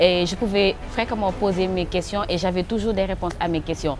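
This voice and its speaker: Music in the background beneath a woman's voice of medium pitch. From Senegal. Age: 20s. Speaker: youth rights advocate. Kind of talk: testimony.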